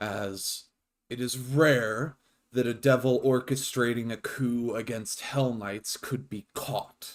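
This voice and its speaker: A man at medium pitch performs a put-on character voice at a fairly slow pace. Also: fairly even intonation, very clean recording, silent background. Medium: actual play. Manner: formal, clipped, authoritative.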